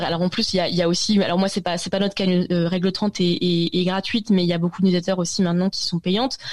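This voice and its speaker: Fairly even intonation marks this woman's speech at a medium pitch. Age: 20s. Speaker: tech journalist. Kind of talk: interview. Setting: video call. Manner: halting, many hesitations.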